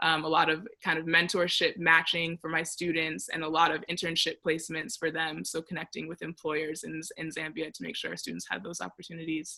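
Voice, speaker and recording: A fairly quick pace with hardly any pauses. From United States, Ghanaian parents. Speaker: fellowship alumna presenter. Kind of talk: informational presentation.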